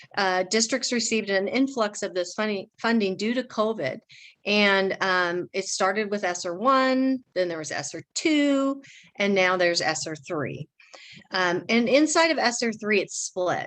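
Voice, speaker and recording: Over a quiet background, a woman with a normal speaking voice talks at a medium pitch and a fairly slow pace, her intonation lively. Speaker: school district finance administrator. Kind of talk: budget presentation to a school board. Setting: school board meeting.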